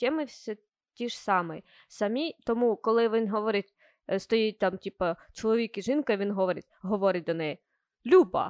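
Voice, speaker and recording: In a very clean, silent recording with a dry, close sound and no echo, a woman speaks at a moderate pace with a fairly high pitch, lively intonation and long, frequent pauses. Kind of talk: casual banter.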